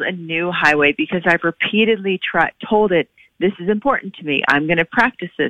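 A woman with an American accent has an unremarkable speaking voice at a medium pitch. She moves at a fairly quick pace with ordinary pitch variation. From Oklahoma. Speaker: author and medical doctor. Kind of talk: interview.

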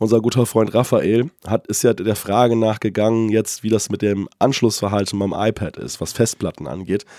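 A man speaks in a fairly low, raspy voice with a dark, mellow tone. His intonation stays fairly even, with hardly any pauses. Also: moderate pace, dry, close sound with no echo. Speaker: tech podcast co-host. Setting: remote recording, separate locations.

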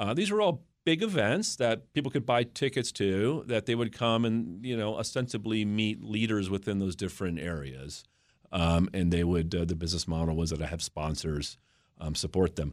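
Lively intonation marks a man's fairly low voice with an American accent, moving at a moderate pace on a very clean recording with a silent background. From US Mid-Atlantic, northern Virginia. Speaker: business founder and CEO. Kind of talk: interview. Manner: halting, many fillers.

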